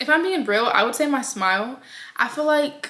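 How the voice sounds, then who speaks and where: This woman's voice is raised and projected, pitched high. She speaks at a fairly slow pace. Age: 20s. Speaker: vlogger. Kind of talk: casual vlog talk. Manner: chatty, hesitant with fillers.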